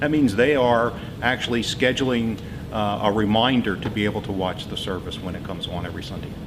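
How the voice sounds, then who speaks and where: Against noticeable background noise and audible room echo, a man talks with ordinary pitch variation. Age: 70s; has a grandson. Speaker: church volunteer running live streaming. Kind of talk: interview testimony. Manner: halting, many filler uhs.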